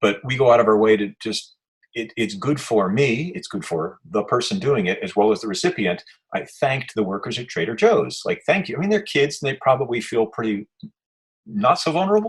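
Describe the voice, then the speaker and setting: At a fairly quick pace, a man with an American accent sounds somewhat breathy, his medium pitch making very wide swings. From New York. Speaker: activist interviewer. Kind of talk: casual chat. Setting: video call. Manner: fast.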